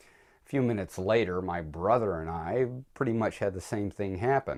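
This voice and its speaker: A plain, everyday voice with lively intonation moves at a moderate pace against a quiet background. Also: man. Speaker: vlogger on religion and philosophy. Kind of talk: personal video essay.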